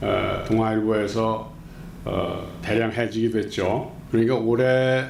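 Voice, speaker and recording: In a room with audible echo, a man speaks very slowly at a medium pitch with monotone, flat intonation. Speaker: former journalist and activist. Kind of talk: interview. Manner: indignant, emphatic.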